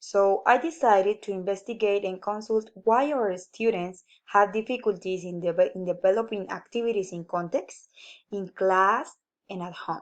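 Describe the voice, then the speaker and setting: A woman speaks at a medium pitch and a moderate pace. Her pitch variation is ordinary, while her loudness swings a lot. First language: Spanish. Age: 20s. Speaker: university student. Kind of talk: class presentation. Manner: halting.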